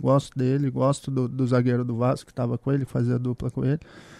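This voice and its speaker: A man's dark, mellow voice over a quiet background. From Espírito Santo, Brazil. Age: 30s. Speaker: former football defender. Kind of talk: casual sports chat.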